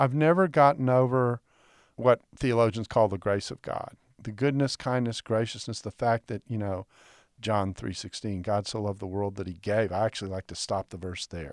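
In a Texan accent, a man speaks at a moderate pace with a fairly low pitch, ordinary pitch variation, and big swings in loudness on a very clean recording with a silent background and a dry, close sound with no echo. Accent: Texan American. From Texas. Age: 60s. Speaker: biblical scholar. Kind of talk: interview conversation. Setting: studio.

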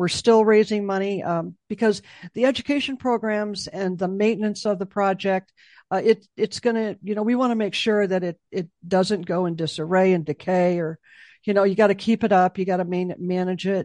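A woman with an American accent speaks in a medium pitch at a moderate pace, her tone dark and mellow and her intonation fairly even. The sound is dry and close with no echo, against a quiet background. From Chicago. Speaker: executive director of a memorial nonprofit. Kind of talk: interview.

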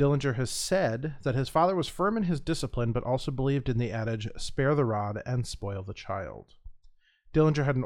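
A man with an American accent talks at a fairly quick pace in an ordinary speaking voice, medium in pitch with lively intonation, over a quiet background. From US Midwest. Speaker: podcast co-host who narrates true crime. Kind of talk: true crime narration read from notes.

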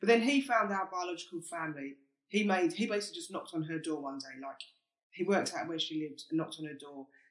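A man with a South London accent talks at a very fast pace and a high pitch, his intonation lively. His loudness swings widely. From South East London, England. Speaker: podcast host. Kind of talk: casual chat.

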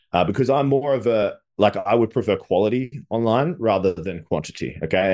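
Against a quiet background, a man with an Australian accent speaks fairly quickly at a fairly low pitch with lively intonation. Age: 30s. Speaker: business coach. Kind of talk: interview. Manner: animated.

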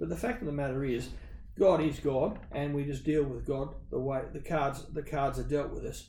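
Audible room echo surrounds a man who speaks with an Australian accent at a fairly high pitch, a moderate pace and ordinary pitch variation. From Western Sydney, Australia. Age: 50s. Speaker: business owner. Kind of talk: interview conversation.

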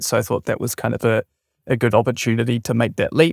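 A man with a New Zealand accent and a medium pitch with ordinary variation, on a very clean recording with a silent background and a dry, close sound with no echo. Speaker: software startup founder. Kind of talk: interview.

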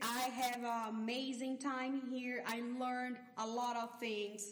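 A woman with a Portuguese accent speaks at a very slow pace and high pitch, with audible room echo and noticeable background noise. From Brazil. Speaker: neuroscience researcher, professor. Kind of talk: interview. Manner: hesitant, many fillers.

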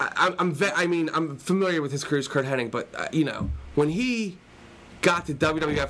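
This man has a normal speaking voice, pitched fairly high, and talks at a fairly quick pace with lively intonation. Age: 30s. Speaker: wrestling fan guest, English teacher. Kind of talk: casual chat.

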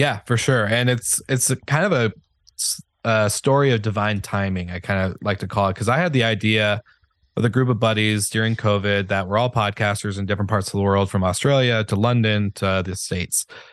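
It's a normal speaking voice, a man at a fairly low pitch with ordinary pitch variation, talking at a fairly quick pace against a quiet background. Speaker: hospitality podcast founder. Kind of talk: casual interview conversation. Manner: conversational, filler-heavy.

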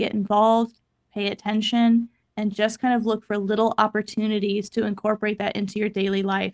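With an American accent, a woman talks at a fairly quick pace in a fairly high pitch and a monotone, flat intonation. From US Midwest, Kansas City, Missouri. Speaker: occupational therapist and advocacy educator. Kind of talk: podcast interview. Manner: fast.

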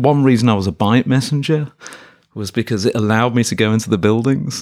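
With a British accent, a man talks at a medium pitch and keeps his intonation fairly even. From Birmingham, England. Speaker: professor. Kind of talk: interview.

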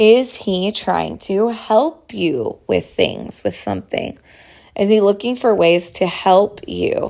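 In a very clean recording with a silent background, a woman speaks at a very slow pace. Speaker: dating coach podcast host. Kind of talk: casual solo podcast monologue. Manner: stumbling over words.

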